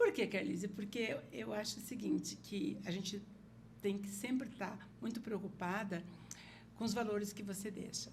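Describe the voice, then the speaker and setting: Audible room echo carries a woman's voice at a medium pitch. Vocal fry runs through her speech. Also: ordinary pitch variation, moderate pace. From Paraná, Brazil (Porecatu, then Curitiba). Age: 60s. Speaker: political party leader and hotel CEO. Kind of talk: podcast interview.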